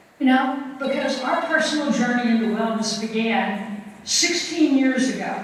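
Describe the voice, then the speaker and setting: A high-pitched woman talks at a moderate pace with hardly any pauses and ordinary pitch variation. Noticeable background noise and audible room echo surround her. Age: 70s. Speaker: physician and wellness speaker. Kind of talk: talk to a live audience. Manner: animated.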